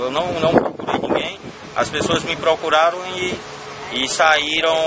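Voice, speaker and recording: The background noise is loud. A man speaks over it at a fairly slow pace. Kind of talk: interview answer. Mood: calm, proud of charity drive. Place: street. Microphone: phone near.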